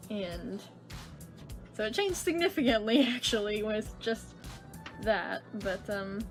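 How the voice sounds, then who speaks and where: Music plays in the background while the speech moves at a fairly slow pace with lively intonation. Long, frequent pauses break it up. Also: woman, fairly high pitch for a woman. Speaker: comic artist. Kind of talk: casual talk to camera.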